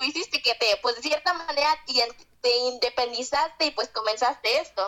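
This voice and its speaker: A woman uses a raised, projected voice with lively intonation. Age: young. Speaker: content creator. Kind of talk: casual chat. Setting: remote call.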